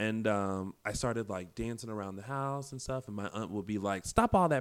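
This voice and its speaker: In an American accent, an unremarkable speaking voice talks with ordinary pitch variation on a very clean recording with a silent background. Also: man. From South Carolina. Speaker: actor and web talk show host. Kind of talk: casual interview.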